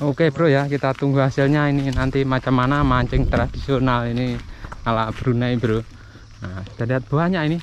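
Medium-pitched male voice at a moderate pace, fairly even intonation, faint background noise.

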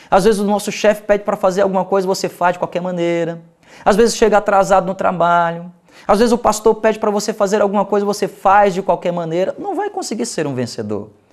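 At a fairly quick pace, a man with a Brazilian accent speaks in a high pitch. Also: quiet background. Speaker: pastor. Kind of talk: sermon. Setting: TV or radio program. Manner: earnest, exhortative; direct appeals to the listener. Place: studio. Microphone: lapel.

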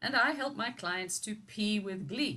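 At a moderate pace, a woman's bright, sharp tone rides on lively intonation. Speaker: personal coach. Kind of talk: interview. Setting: video call. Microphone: video call.

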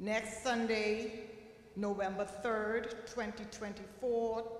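A woman speaks over light background noise. The room echo is audible. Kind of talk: church announcements. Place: church. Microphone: podium.

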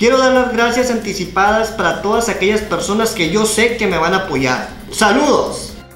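A man with a high pitch speaks at a moderate pace, his pitch varying in an ordinary way. Faint music and audible room echo are in the background. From Navojoa, Sonora, Mexico. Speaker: amateur announcer, live streamer. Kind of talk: interview answer. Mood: earnest, appealing for help. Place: home room. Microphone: handheld.

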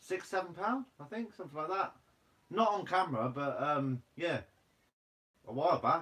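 In a Guernsey accent, a man with a high-pitched voice speaks at a moderate pace with long, frequent pauses. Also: lively intonation. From Guernsey, Channel Islands. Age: 20s. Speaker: fishing and foraging YouTuber; livestream host. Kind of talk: livestream Q&A reading viewer comments. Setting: live stream. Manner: casual, laughs often; sometimes blunt. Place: home room. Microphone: phone near.

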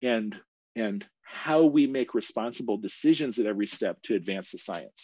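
Moderately paced, a man talks with an American accent. The sound is dry with no echo. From US Midwest, small-town Kansas. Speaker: professor, paleoanthropologist; professor giving a talk. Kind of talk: lecture. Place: home room.

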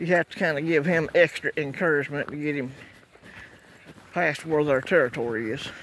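A man talks at a moderate pace with a fairly high pitch. His tone is fairly bright and his intonation fairly even.

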